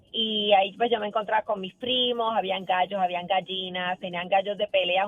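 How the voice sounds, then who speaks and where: A woman's voice with music in the background. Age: 60s. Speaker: caller. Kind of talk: phone-in anecdote.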